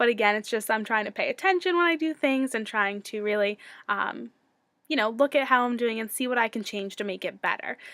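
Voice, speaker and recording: On a very clean recording with a silent background, a woman with a bright, sharp tone and fairly high pitch speaks at a fairly quick pace with lively intonation. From US Northeast, Connecticut. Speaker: student and childcare center director. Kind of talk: video self-introduction for class. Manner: fast; frequent ums, filler words.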